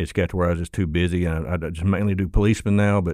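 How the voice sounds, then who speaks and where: With an Arkansas accent, a man talks at a very fast pace in a very deep, low pitch and a dark, mellow tone. His intonation stays fairly even, and the recording is very clean with a silent background. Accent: Southern US, Arkansas. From Little Rock, Arkansas. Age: 50s. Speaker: motorcycle police officer and instructor. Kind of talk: casual interview chat. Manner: folksy, conversational.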